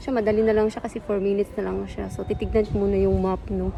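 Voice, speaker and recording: A woman's voice with music in the background. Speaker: travel vlogger. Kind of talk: casual vlog. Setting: outdoors and temple, alone. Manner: soft-spoken.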